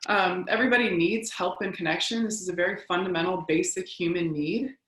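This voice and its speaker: Fairly quick speech from a woman, its pitch variation ordinary. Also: medium pitch for a woman. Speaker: trauma-informed practices presenter. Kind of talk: lecture. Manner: fast.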